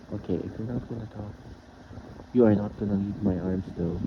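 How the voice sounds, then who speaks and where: A man at a fairly low pitch with fairly even intonation, over noticeable background noise. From Philippines. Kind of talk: boyfriend roleplay audio. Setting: fan noise in background. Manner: nervous, casual, affectionate.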